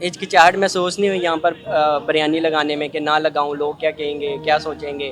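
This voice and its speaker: Music plays in the background. A man speaks in a fairly high, monotone, flat voice. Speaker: street interviewer, host. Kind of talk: interview questions.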